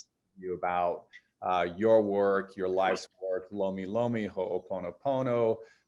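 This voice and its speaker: With an unremarkable speaking voice, a man talks in a fairly low pitch and fairly even intonation. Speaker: environmental lawyer and writer. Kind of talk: interviewer questions.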